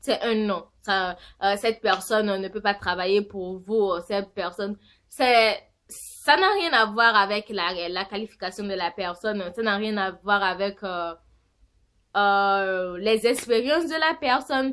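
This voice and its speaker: Speaking at a very slow pace with a non-native accent, a woman uses a medium pitch and ordinary pitch variation on a very clean recording with a silent background. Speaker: vlogger. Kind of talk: casual vlog monologue. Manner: halting, many fillers.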